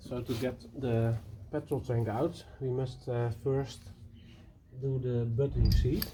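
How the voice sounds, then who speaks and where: Here a man speaks with a Dutch accent at a medium pitch. He goes at a very slow pace with fairly even intonation. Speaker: motorbike restorer. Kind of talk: tutorial. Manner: halting.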